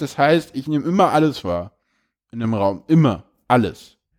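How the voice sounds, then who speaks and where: A man's fairly high-pitched voice, a plain, everyday voice, at a fairly slow pace on a very clean recording with a silent background. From Berlin. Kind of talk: casual interview chat.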